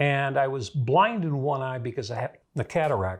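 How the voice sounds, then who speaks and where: Somewhat breathy, fairly slow speech with lively intonation over a quiet background. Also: man. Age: 70s. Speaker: political commentator. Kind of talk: monologue. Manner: conversational.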